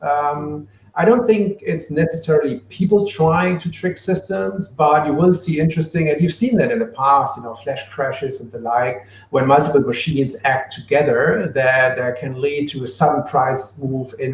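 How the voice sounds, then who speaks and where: A man with a German accent speaks at a moderate pace and a fairly high pitch. His intonation is lively, and his loudness swings a lot. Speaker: book author on machine learning for trading. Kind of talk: live Q&A. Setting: live online stream.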